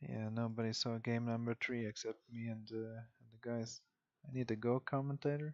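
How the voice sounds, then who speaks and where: Soft-spoken, a man talks in a monotone at a medium pitch, with flat intonation and a moderate pace. The sound is dry and close, with no echo. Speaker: game caster. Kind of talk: live commentary.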